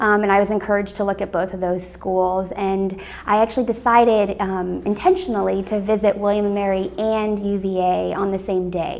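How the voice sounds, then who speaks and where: A woman with a General American accent speaks at a fairly quick pace with monotone, flat intonation and hardly any pauses, against noticeable background noise. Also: medium pitch for a woman. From Northern Virginia, US. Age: 30s. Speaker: alumna interviewee. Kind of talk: oral history interview. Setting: office.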